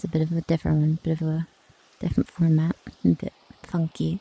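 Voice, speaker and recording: A soft-spoken woman whispers at a moderate pace with music playing in the background. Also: dry, close sound with no echo. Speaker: ASMR streamer. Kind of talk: casual gaming ramble. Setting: mixed reality headset at home. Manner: whispering.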